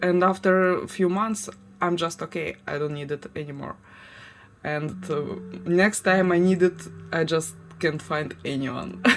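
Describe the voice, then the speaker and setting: Using long, frequent pauses, a woman with a Ukrainian accent speaks fairly slowly at a fairly low pitch with ordinary pitch variation. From Ukraine, Crimea and Kharkiv. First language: Ukrainian or Russian. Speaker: livestreamer. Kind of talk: casual chat. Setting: home livestream. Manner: halting.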